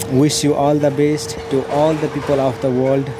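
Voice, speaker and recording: Music plays in the background. The speaker, with a Nepali accent, talks at a fairly slow pace. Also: man. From Nepal, Jhapa District. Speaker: meditation practitioner. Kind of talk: personal testimony. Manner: halting, many fillers.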